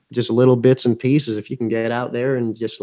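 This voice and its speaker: The tone is dark and mellow. The sound is dry and close with no echo, over a quiet background. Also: man. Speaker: YouTuber interviewer. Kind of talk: casual interview chat. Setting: video call live stream.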